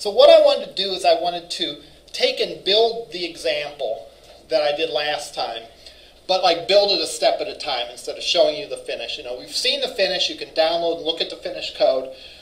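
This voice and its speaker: A man speaks at a fairly quick pace with big swings in loudness. The room echo is audible. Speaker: college instructor. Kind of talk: lecture. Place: classroom. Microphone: camera far.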